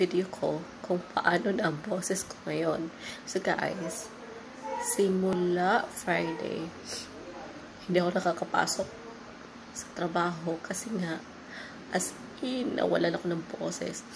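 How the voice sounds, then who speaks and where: A woman with a fairly low pitch speaks at a very slow pace, leaving long, frequent pauses. Her intonation stays fairly even, and background noise is noticeable. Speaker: call center agent, vlogger. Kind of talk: casual vlog.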